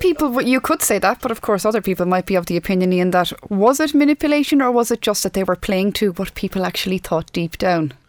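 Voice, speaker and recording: Talking at a very fast pace with hardly any pauses, a woman with an Irish accent and a medium pitch uses lively intonation in a dry, close sound with no echo. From Ireland. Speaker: podcast host. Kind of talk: interview. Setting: studio.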